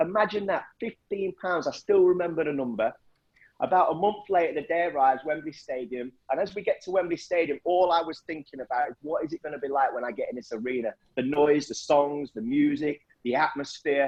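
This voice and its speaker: Here a man speaks in an East Midlands accent at a fairly quick pace. His voice is fairly high, with ordinary pitch variation. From Nottinghamshire, England. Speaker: motivational speaker. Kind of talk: storytelling talk. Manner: animated.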